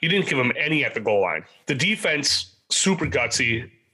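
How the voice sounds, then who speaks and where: A man talks at a moderate pace in a plain, everyday voice with lively intonation. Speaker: sports podcast co-host. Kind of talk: casual chat.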